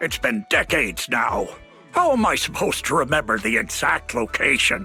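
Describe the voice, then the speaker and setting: Clear music plays in the background. A man with a medium pitch uses a cartoonish character voice. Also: moderate pace. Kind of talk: theatrical announcer. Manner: grandiose, rambling.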